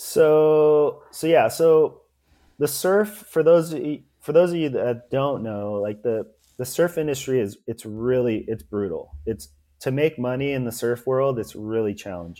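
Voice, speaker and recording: With a Californian accent, this man speaks at a medium pitch and a fairly slow pace, his tone dark and mellow and his intonation lively. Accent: Californian American. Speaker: ex-pro surfer turned entrepreneur. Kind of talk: casual interview.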